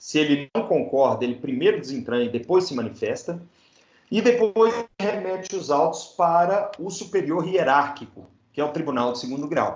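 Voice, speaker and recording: A man with a fairly high voice speaks with lively intonation amid audible room echo. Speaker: law professor. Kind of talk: lecture.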